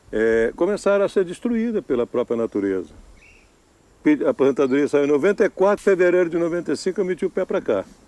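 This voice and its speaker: Dark, mellow tone with very wide pitch swings, a moderate pace, and a dry, close sound with no echo. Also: man. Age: 70s. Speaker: retired island resident, campsite owner. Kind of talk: interview.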